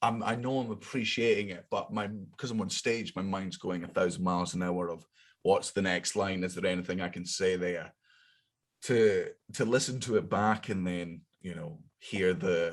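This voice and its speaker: In a Scottish accent, the speaker goes at a moderate pace with ordinary pitch variation in a very clean recording with a silent background. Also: man, fairly low pitch for a man. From Scotland. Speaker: comedian. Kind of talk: casual chat.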